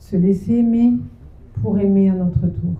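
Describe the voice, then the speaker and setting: A woman's fairly slow speech with lively intonation amid audible room echo. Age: 60s. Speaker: seminar speaker on parenting. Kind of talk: sermon. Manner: halting.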